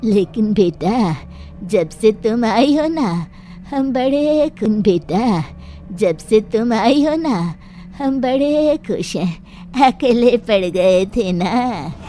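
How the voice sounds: Clear background noise sits behind a female-sounding voice doing a cartoonish character voice at a fairly high pitch and a very slow pace.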